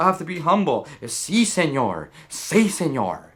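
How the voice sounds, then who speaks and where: This man's voice sits high for a man, with a bright, sharp tone. He speaks in a raised, projected way. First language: Spanish. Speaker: political video blogger. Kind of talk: emotional political monologue. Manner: halting, many repetitions; impassioned.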